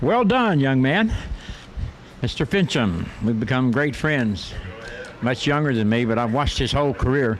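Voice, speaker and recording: The pace is moderate. Noticeable background noise sits behind the voice. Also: man. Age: 80s+. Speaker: drag racing announcer. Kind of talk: live commentary.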